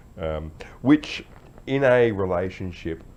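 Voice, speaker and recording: Speaking with an Australian accent, a man uses lively intonation. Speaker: vlogger, army veteran. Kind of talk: casual talk to camera. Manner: halting, many fillers.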